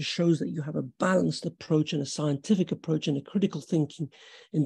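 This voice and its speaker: The man's fairly high voice is somewhat breathy, with a dark, mellow tone. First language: not English. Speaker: surgeon giving a webinar. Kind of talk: lecture. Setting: video call. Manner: conversational with fillers.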